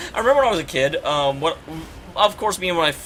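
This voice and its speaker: Noticeable background noise surrounds a man speaking with an American accent. His fairly high voice sounds animated. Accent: Oklahoma accent, slight, creeps in at times. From Oklahoma, US (Tulsa). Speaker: video game streamer. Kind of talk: casual live-stream commentary. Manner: loud; animated, chatty.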